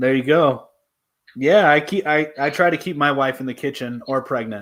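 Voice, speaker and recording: In a normal speaking voice, the speaker goes at a moderate pace with ordinary pitch variation, on a very clean recording with a silent background. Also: man, fairly high pitch for a man. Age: 20s. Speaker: debate show host. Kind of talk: casual debate chat. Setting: livestream.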